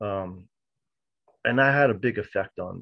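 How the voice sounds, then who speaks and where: A man speaks with ordinary pitch variation. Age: 40s. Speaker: roundtable participant. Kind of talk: casual roundtable discussion. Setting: video call.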